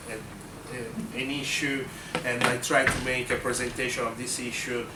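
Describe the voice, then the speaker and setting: With noticeable background noise and audible room echo, a man talks at a medium pitch. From Italy. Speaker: documentary filmmaker and activist. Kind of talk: talk introducing a film screening. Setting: university lecture room. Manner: hesitant, many fillers.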